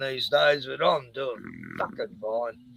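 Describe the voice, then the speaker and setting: Here a man speaks with an Australian accent. His pace is fairly slow. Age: 60s. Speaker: live streamer. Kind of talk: casual chat. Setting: live stream.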